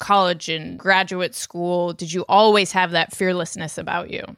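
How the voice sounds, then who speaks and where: With an American accent, a woman speaks at a moderate pace in a bright, sharp tone and flat, monotone intonation, recorded very cleanly against a silent background. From US Midwest. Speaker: podcast host. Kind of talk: interview.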